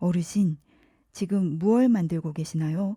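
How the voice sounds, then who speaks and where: A woman's put-on character voice, fairly low in pitch, at a moderate pace. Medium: read story.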